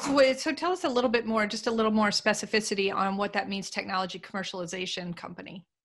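Hardly pausing, a woman with a fairly high pitch talks at a very fast pace with ordinary pitch variation. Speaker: podcast co-host and business consultant. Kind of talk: interview. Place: office.

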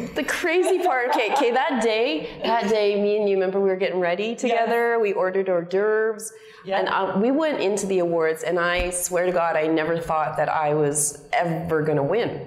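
A woman with a Canadian accent, medium pitch and lively intonation, at a fairly quick pace with hardly any pauses and very even loudness, amid audible room echo. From Calgary, Alberta, Canada. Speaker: actress. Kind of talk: interview answer. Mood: warm, laughing, storytelling.

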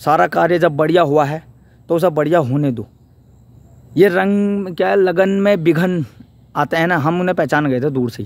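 This man's voice sits high in pitch. His pitch varies an ordinary amount. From Uttarakhand, Pauri Garhwal. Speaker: vlogger. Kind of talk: vlog monologue. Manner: animated.

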